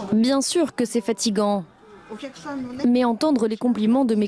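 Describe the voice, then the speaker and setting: Crowd noise fills the background as a woman speaks at a fairly slow pace. Her pitch is fairly high, with ordinary variation. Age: 70s. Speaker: restaurant owner. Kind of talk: interview.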